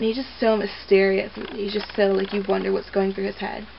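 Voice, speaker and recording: A woman's voice at medium pitch, with noticeable background noise. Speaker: movie reviewer vlogger. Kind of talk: casual movie review. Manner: casual, filler-heavy.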